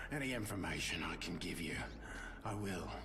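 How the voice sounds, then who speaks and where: Amid loud background noise, a man puts on a character voice and talks at a fairly quick pace. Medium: game stream. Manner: measured, reflective.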